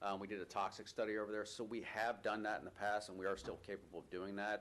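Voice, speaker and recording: Speaking at a very fast pace, a man delivers his words in a monotone, flat way at a fairly low pitch. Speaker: state air quality official. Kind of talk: public hearing testimony.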